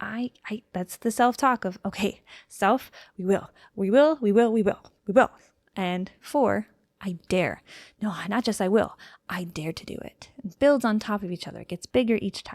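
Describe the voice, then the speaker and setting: In a normal speaking voice, a woman with fairly high pitch and ordinary pitch variation speaks at a fairly slow pace with big swings in loudness, the sound dry and close with no echo on a very clean recording with a silent background. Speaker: aspiring novelist and vlogger. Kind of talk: motivational pep talk to camera.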